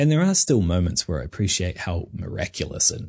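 A man with a New Zealand accent talks at a fairly quick pace. His voice is somewhat breathy, and the background is quiet. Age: 30s. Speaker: podcast host. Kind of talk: personal reflective monologue.

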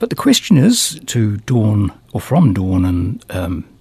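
A man speaks with a New Zealand accent. His tone is relaxed and warm. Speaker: radio host. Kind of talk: radio DJ patter between songs. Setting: radio studio. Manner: chatty, rambling, quirky and playful, with hesitations and self-amused asides; relaxed, conversational and jokey, with a warm, whimsical tone.

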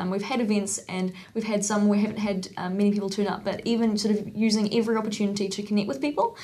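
Noticeable background noise runs under the speech. The speaker is a woman with a medium pitch. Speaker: university student. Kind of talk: casual chat. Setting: studio.

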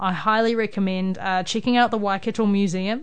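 A woman with a New Zealand accent, medium-pitched voice, moderate pace. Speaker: radio host. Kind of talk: casual chat. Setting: studio.

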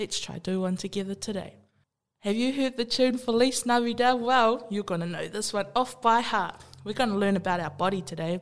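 In a very clean recording with a silent background, someone speaks fairly quickly with a New Zealand accent, an animated, playful tone, and ordinary pitch variation. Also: woman, fairly high pitch for a woman. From New Zealand, Māori. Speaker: Māori youth library worker. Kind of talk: playful casual talk.

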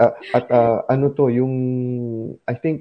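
A man talking at a moderate pace. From Philippines, Zamboanga, Mindanao. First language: Chabacano (speaking Tagalog). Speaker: community radio host. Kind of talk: interview; show announcement.

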